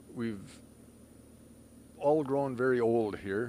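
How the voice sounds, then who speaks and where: Speaking at a very slow pace, a man keeps a medium pitch and fairly even intonation. Audible room echo surrounds his voice. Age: 60s. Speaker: toy run organizer. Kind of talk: interview.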